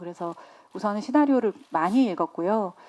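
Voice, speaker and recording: Here is a woman with a medium-pitched voice. Her tone is dark and mellow. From Busan, South Korea. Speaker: lead film actress. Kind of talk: press conference Q&A.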